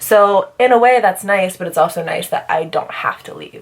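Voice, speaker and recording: Over noticeable background noise, a woman talks at a moderate pace in an animated tone with ordinary pitch variation. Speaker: beauty vlogger. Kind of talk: casual chat.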